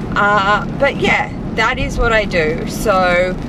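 Recorded dry with no echo, a woman speaks over noticeable background noise. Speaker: fashion vlogger. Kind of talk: casual vlog chat. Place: car. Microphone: phone near.

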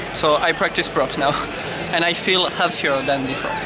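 In a French accent, a man speaks with a dry sound that has no echo amid noticeable background noise. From France. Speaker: English learner. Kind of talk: interview. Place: street. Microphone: phone near.

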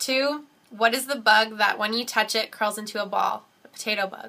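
Bright and sharp in tone, a woman talks with a Canadian accent. Her pitch is fairly high and her intonation fairly even. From Canada. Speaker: vlogger. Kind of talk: casual talk to camera. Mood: relaxed, smiling. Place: home room. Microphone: webcam.

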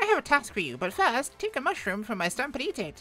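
A high, female-sounding put-on character voice races along at a very fast pace with very wide pitch swings. Faint music plays in the background. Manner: playful, instructing.

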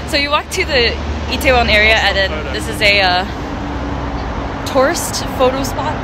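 Noticeable background noise behind a woman's dry, echo-free voice. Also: moderate pace. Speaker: vlogger. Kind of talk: casual vlog chat. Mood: cheerful, playful. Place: street. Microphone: phone near.

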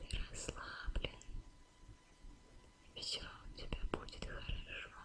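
The speaker is a woman, whispering. She goes very slowly. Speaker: ASMR creator. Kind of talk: ASMR whisper roleplay. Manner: whispered, soft, slow. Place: home room.

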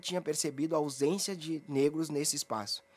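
A man speaks at a fairly quick pace. His pitch is fairly high, with ordinary variation. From Brazil, Porto Alegre. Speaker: anti-racism activist, head of a sports discrimination watchdog. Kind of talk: radio interview. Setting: radio studio. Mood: serious, reflective. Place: studio. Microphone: studio mic.

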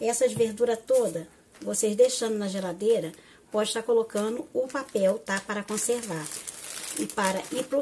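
Noticeable background noise behind a woman speaking at a fairly high pitch. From Rio de Janeiro, Brazil. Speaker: cooking channel host. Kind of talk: cooking tutorial. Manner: warm, affectionate. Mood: warm, friendly. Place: kitchen. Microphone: phone near.

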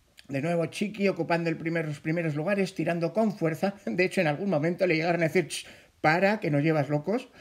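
Very fast speech from a man with a high pitch and ordinary pitch variation. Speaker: sports commentator. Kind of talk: sports commentary, race recap narration. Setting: voiceover over race footage.

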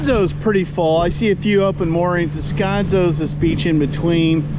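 A man speaks at a moderate pace against loud background noise. The sound is dry, with no echo. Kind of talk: casual vlog chat. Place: boat. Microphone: phone near.

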